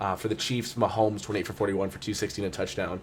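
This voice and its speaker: A man talks at a very fast pace, somewhat breathy and fairly low in pitch. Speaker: football podcast host. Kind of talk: casual podcast chat with stat recaps.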